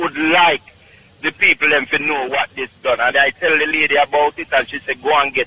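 Amid noticeable background noise, a man with a Jamaican accent talks at a fairly quick pace in a fairly high pitch. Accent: Jamaican Patois-inflected English. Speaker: caller. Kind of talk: testimony. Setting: phone call.

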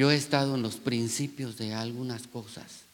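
Audible room echo follows a man speaking fairly slowly at a medium pitch. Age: 60s. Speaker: pastor. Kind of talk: sermon; prayer. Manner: halting.

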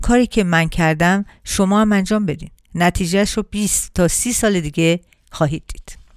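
This woman has a normal speaking voice at medium pitch. Her pitch varies an ordinary amount. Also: moderate pace. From Iran. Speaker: radio host and beauty specialist. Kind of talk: radio talk show monologue.

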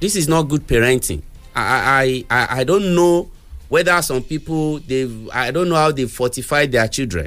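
A man's fairly high-pitched voice at a moderate pace with ordinary pitch variation, music in the background. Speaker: newspaper review analyst. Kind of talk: radio discussion.

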